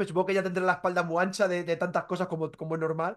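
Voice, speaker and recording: Over a quiet background, a man talks at a very fast pace with a high pitch. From Spain, Toledo; Spain. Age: 30s. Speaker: entertainment journalist. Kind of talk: interview. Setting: video call. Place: home room. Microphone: video call.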